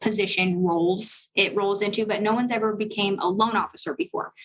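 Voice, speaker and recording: A normal speaking voice from a woman, fairly high in pitch, at a fairly quick pace with ordinary pitch variation. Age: 20s. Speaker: loan officer. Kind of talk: casual chat.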